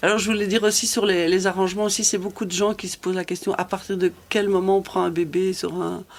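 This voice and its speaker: A woman races along at a very fast pace with hardly any pauses, her medium-pitched voice monotone and flat. Noticeable background noise runs under the speech. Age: 60s. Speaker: cycling community group founder. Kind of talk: casual chat. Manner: halting.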